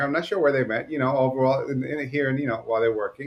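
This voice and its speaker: A man with a New York accent, medium pitch and fairly even intonation. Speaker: podcast co-host. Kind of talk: casual podcast chat. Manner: fast.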